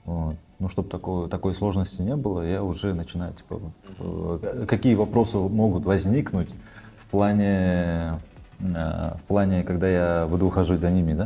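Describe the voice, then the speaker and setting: This man has a very deep, low voice with a dark, mellow tone and fairly even intonation. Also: moderate pace. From Kyrgyzstan. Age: 30s. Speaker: videomaker and welder. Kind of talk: casual interview.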